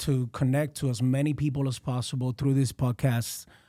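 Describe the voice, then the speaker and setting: In a very clean recording with a silent background, a man with a Spanish accent speaks at a moderate pace in a fairly high pitch. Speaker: realtor. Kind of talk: casual chat. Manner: halting.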